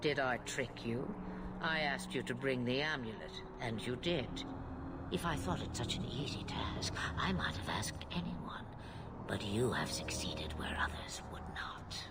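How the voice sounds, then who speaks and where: A man whispers in a put-on character voice over loud background noise. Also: moderate pace. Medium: video game. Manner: cryptic, amused, grandiose.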